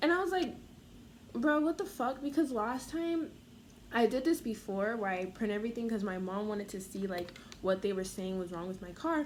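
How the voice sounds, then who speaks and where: An animated woman's voice, fairly high in pitch with very wide pitch swings, over noticeable background noise. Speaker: vlogger. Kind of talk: rant. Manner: fast.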